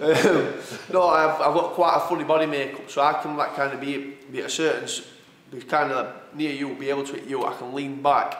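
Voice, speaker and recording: With a Yorkshire accent, a man talks at a fairly quick pace in a fairly high voice with fairly even intonation, over audible room echo and noticeable background noise. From northern England, Sheffield. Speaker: professional boxer. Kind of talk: casual interview.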